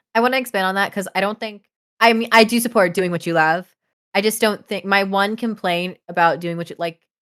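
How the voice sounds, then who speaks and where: An ordinary speaking voice from a woman, medium in pitch, at a fairly quick pace. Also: ordinary pitch variation. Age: young. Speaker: podcast co-host. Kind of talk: casual chat.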